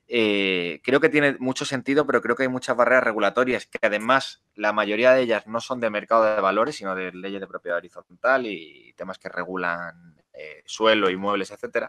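A man with a bright, sharp tone, medium pitch and lively intonation, recorded dry and close with no echo. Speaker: crypto lawyer and startup co-founder. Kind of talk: interview. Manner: fast.

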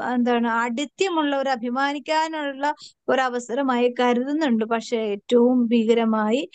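High-pitched woman's voice in a dry, close sound with no echo. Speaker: prayer group leader. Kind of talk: sermon. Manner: conversational, asks listeners questions.

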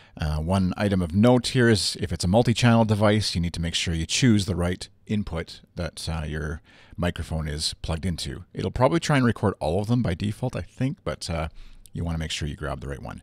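A man with a low pitch and lively intonation at a fairly quick pace, in a very clean recording with a silent background.

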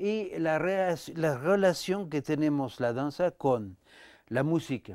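A man with a fairly high pitch talks at a very slow pace, his intonation lively and his loudness very even. The sound is dry with no echo, over a quiet background. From France. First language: French (speaking Spanish). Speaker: dancer and choreographer, dance company director; guest. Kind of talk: interview conversation. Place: studio.

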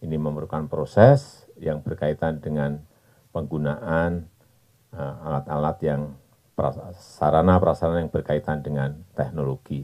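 The background is quiet. A man speaks with a very deep, low pitch. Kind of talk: press statement. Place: open country. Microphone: podium.

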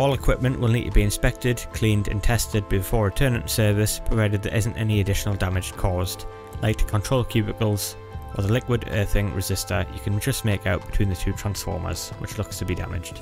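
A man with a fairly low pitch and ordinary pitch variation speaks at a very fast pace over music in the background. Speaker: electrical engineer. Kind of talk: technical explainer narration.

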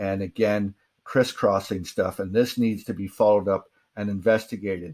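Against a quiet background, a man uses an ordinary speaking voice, fairly low in pitch, at a moderate pace with fairly even intonation. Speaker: presenter. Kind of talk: lecture. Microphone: webcam.

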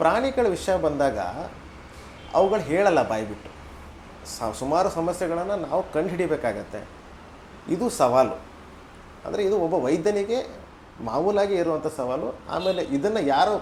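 A man speaks with a high voice for a man and pitch that swings very widely. Noticeable background noise runs behind him. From northern Karnataka, Belagavi district. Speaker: veterinarian. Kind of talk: interview.

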